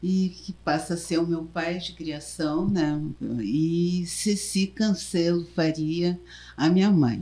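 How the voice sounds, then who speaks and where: A woman's somewhat breathy voice, fairly low in pitch, with ordinary pitch variation and a very slow pace. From southern Brazil, Porto Alegre. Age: 70s. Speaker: journalist, former union president. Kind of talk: interview. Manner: halting.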